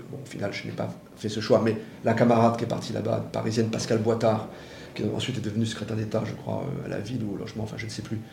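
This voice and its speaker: Amid noticeable background noise and audible room echo, a man talks at a very fast pace with a medium pitch. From Paris, France. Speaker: former political adviser and author. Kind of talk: interview.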